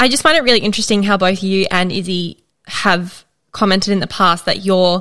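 Here a woman speaks in an Australian accent at a fairly quick pace. Her pitch variation is ordinary. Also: very clean recording, silent background. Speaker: podcast host. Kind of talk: scripted intro and casual chat. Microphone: good audio.

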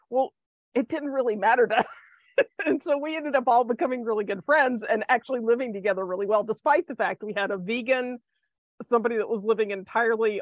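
A woman with an American accent talks at a fairly quick pace in a plain, everyday voice. Her pitch is fairly high, with ordinary pitch variation. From US South, Athens, Georgia. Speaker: acupuncturist and herbal medicine doctor. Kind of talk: casual interview chat.

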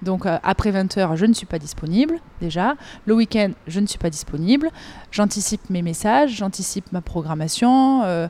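Dark, mellow tone from a woman at medium pitch, with lively intonation and a moderate pace. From southern France, Avignon. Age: 30s. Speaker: gymnastics coach. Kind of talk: interview.

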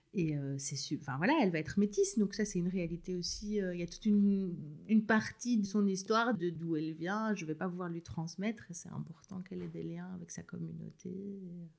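A voice speaking at a fairly quick pace with ordinary pitch variation. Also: woman, medium pitch for a woman. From rural Belgium. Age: 30s. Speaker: new mother, former literacy teacher. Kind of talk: casual interview. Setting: at home with baby in a sling.

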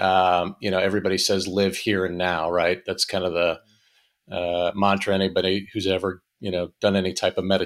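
In an American accent, a man speaks at a fairly low pitch and a moderate pace. The recording is very clean, with a silent background. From western Pennsylvania (Erie). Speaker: financial advisor, former Navy pilot. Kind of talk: casual interview. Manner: halting, many fillers.

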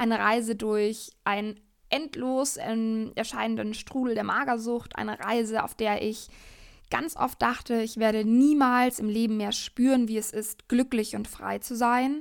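The recording is very clean, with a silent background. A woman with a normal speaking voice talks at a fairly slow pace with fairly even intonation. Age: 20s. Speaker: podcast host, yoga teacher and coach. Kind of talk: personal monologue.

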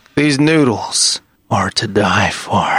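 A man puts on a raspy character voice pitched fairly high. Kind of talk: theatrical, posh. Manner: suave, menacing, drawn-out.

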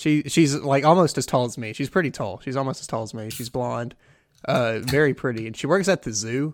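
On a very clean recording with a silent background, a man with an ordinary speaking voice talks fairly quickly at medium pitch, showing ordinary pitch variation and big swings in loudness. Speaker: tabletop game player. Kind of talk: tabletop roleplaying game session, casual.

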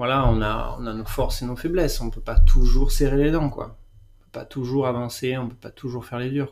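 The man's volume rises and falls in big swings. He keeps to a moderate pace. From France, Bordeaux region. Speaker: gardener. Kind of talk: interview. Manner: halting.

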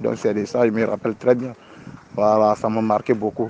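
Keeping a monotone, flat intonation, a man talks at a moderate pace in a fairly low pitch. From Ivory Coast. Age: 20s. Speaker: mason. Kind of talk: interview. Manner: halting.

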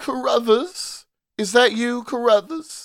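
A man in a put-on character voice speaks at a fairly slow pace with an extremely high pitch. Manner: gentle and inquiring.

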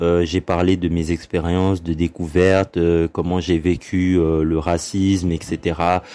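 A man talks at a very slow pace in a very deep, low pitch. His intonation is monotone and flat. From Congo. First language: Lingala (speaking French). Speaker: podcast host. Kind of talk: solo monologue podcast. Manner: hesitant with many fillers.

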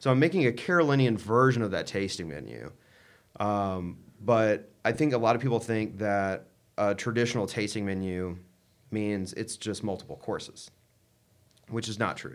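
Speaking at a moderate pace, a man uses an unremarkable speaking voice with a fairly low pitch and ordinary pitch variation. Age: 20s. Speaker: chef. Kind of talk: casual chat.

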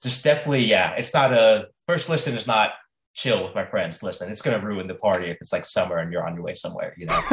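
A man with an American accent talks at a very fast pace. His loudness swings widely. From US South. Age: 30s. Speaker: musician. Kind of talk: interview. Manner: casual.

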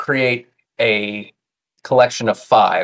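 A man with monotone, flat intonation. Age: 30s. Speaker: tabletop game designer. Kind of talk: casual chat.

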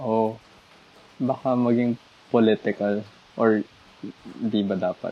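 A man speaks at a medium pitch and a fairly slow pace, with long, frequent pauses and monotone, flat intonation. The sound is dry and close, with no echo. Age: 20s. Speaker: university student. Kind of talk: casual chat.

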